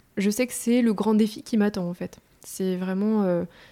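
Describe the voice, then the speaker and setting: Speaking at a fairly slow pace, a woman with a medium-pitched, dark, mellow voice keeps a monotone, flat intonation on a very clean recording with a silent background. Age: 30s. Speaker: endometriosis patient, works in environmental innovation. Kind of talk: interview testimony. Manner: spontaneous, talkative; hesitant, many fillers.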